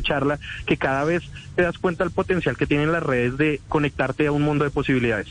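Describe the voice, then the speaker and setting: Delivered at a very fast pace in a Bogotá accent, the speech has fairly even intonation. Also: man. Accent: Bogotá Colombian. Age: 20s. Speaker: tech content creator. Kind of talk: interview.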